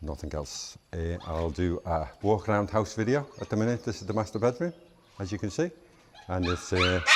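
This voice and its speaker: In a strong Scouse accent, a man talks with a fairly low pitch. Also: ordinary pitch variation, moderate pace. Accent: Scouse (Liverpool), strong. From Liverpool, England. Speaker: vlogger. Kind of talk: casual vlog monologue. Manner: chatty, informal.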